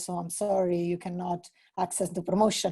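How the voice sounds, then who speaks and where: With an Italian accent, a woman talks at medium pitch and a moderate pace in a dark, mellow, somewhat breathy tone. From Italy. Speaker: entrepreneur. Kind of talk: casual chat.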